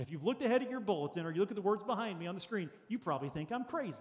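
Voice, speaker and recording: Pitched high, a man's voice rises and falls in very wide swings. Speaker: pastor. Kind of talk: sermon.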